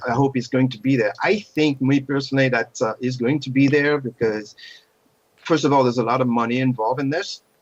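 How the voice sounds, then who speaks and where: This man, with a non-native accent, talks at a fairly quick pace and medium pitch, his intonation fairly even. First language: not English. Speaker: podcast co-host. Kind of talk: casual chat.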